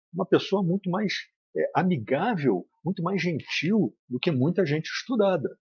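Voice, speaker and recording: A man speaks high for a man, with lively intonation. His pace is fairly slow. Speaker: spiritist lecturer. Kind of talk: lecture. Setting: spiritist centre. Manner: serious.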